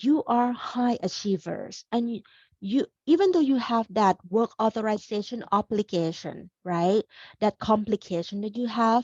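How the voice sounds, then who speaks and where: Against a quiet background, a woman with a Thai accent speaks fairly slowly in a fairly high, somewhat breathy voice with ordinary pitch variation and a dry, close sound with no echo. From Thailand, Bangkok. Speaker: career coach. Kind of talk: webinar presentation. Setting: video call. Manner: animated.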